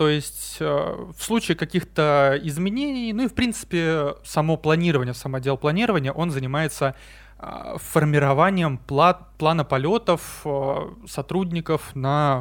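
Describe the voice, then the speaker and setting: In an unremarkable speaking voice, a man talks at a fairly slow pace with a fairly high pitch and ordinary pitch variation. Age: 20s. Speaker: airline crew scheduler. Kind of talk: casual interview.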